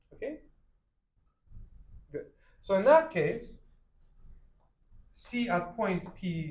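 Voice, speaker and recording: Lively intonation marks this very slow delivery, heard with audible room echo. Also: man. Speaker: math lecturer. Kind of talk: lecture. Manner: loud.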